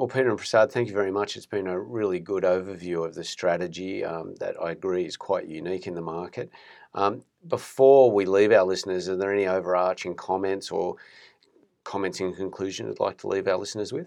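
With a very deep, low pitch, a man speaks at a fairly quick pace. His intonation is fairly even, and the background is quiet. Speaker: podcast host, wealth management.

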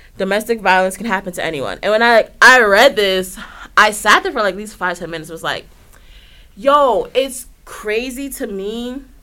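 At a moderate pace, a woman speaks in an animated, bright, sharp tone with lively intonation. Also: big swings in loudness. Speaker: wrestling podcast co-host. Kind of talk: casual chat.

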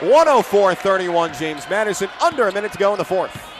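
Noticeable background noise sits behind a man's voice. He talks at a fairly quick pace in an animated, excited tone. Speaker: college basketball play-by-play announcer. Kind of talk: live sports commentary, play-by-play of a women's basketball game. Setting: arena, home broadcast from the arena. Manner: animated, excited at big plays.

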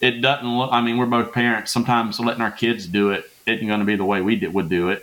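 The speaker talks with a Southern US accent and ordinary pitch variation. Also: man. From Louisiana. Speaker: pastor. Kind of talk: casual chat.

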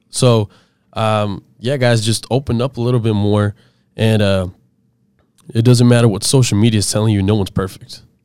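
In a very clean recording with a silent background, a man with a fairly low pitch speaks at a moderate pace in monotone, flat intonation with long, frequent pauses. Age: 20s. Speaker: podcast host. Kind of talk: casual interview chat.

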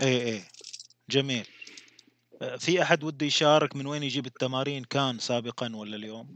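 Speaking at a moderate pace with ordinary pitch variation, a man leaves long, frequent pauses. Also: medium pitch for a man. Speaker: podcast host. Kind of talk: interview.

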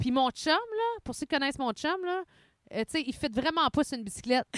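Her pitch swings very widely as this woman speaks. The sound is dry and close, with no echo. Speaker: podcast co-host. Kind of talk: casual chat. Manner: fast.

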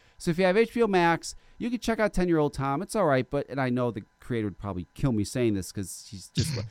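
Recorded very cleanly against a silent background, with a dry, close sound and no echo, a man speaks very fast at a fairly high pitch, his pitch swinging very widely. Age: 40s. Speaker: podcast host. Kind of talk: casual chat. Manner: animated.

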